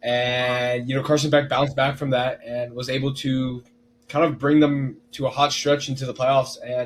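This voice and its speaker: A man talks at a medium pitch and a moderate pace in a monotone, flat intonation. Noticeable background noise runs behind him. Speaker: sports podcast co-host. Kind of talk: casual sports chat.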